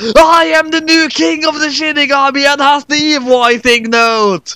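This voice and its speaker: A man does a put-on character voice at an extremely high pitch and a moderate pace. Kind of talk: comedic fanfic reading. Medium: read story.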